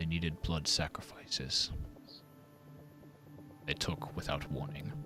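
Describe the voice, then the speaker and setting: A man puts on a booming character voice at a moderate pace. Clear music plays in the background. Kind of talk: ominous storytelling.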